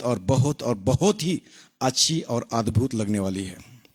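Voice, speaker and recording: A man with a Marathi accent talks with vocal fry and very wide pitch swings. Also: dry, close sound with no echo. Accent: Marathi-accented Hindi. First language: Marathi (speaking Hindi). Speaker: pastor. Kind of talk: sermon. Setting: online live broadcast. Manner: halting.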